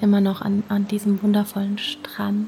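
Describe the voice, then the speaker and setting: A woman speaks at a very slow pace in a gentle, warm tone. Noticeable background noise runs under her voice. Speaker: meditation guide. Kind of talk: guided meditation. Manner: slow, soft and soothing, with long calm pauses; gentle, warm and intimate, addressing the listener as du.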